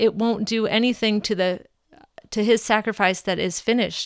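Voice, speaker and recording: A woman with an American accent, medium in pitch, with fairly even intonation. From Minnesota, US Midwest. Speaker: mother sharing faith story. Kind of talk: personal testimony. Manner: halting, many fillers.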